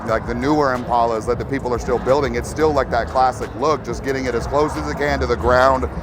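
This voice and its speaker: With a Texan accent, a man talks at a very fast pace with a medium pitch and ordinary pitch variation over noticeable background noise. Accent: Texan American English. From Texas. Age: 40s. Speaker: lowrider builder. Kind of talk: interview. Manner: halting, many repeated words.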